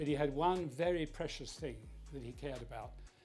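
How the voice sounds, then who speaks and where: A man's fairly quick speech comes over background music. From South London. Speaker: former prime minister. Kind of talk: interview answer. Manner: measured, thoughtful.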